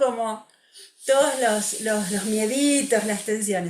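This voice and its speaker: A woman with a Rioplatense accent, at a very slow pace. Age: 60s. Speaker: music therapist. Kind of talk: interview.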